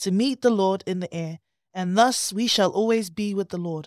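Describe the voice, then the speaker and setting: A woman's ordinary speaking voice, medium in pitch with ordinary pitch variation and a moderate pace, dry and close with no echo on a very clean recording with a silent background. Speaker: guest on Bible commentary. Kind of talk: casual conversation on faith.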